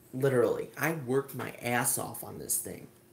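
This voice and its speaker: A man with an American accent, a fairly high pitch, a somewhat breathy quality and a moderate pace. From New York State. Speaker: amateur artist and video maker. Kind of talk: livestream show-and-tell. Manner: quiet; halting.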